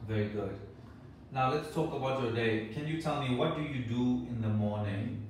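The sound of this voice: In a room with audible echo, a man speaks at a moderate pace and medium pitch with ordinary pitch variation.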